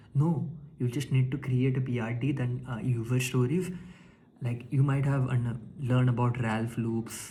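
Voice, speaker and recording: A dark, mellow, somewhat breathy voice moves at a fairly slow pace. Its intonation stays fairly even, with audible room echo. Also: man, medium pitch for a man. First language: not English (English is third language). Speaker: tech vlogger. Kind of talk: casual monologue. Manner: halting, many fillers and restarts.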